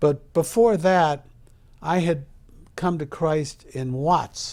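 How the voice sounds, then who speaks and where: A man's fairly high voice at a very slow pace, with ordinary pitch variation, on a very clean recording with a silent background. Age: 70s. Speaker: entertainer and interviewer. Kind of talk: casual interview chat.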